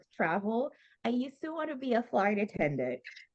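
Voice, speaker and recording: With a Haitian accent, a woman speaks at a fairly quick pace. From Haiti and Florida, US; Haitian parents. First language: Haitian Creole. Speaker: former military officer, HR manager. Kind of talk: interview.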